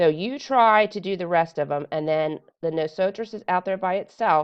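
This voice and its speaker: A woman talks in a plain, everyday voice at a moderate pace. Her pitch varies in an ordinary way. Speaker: Spanish teacher. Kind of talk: tutorial. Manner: casual with many fillers.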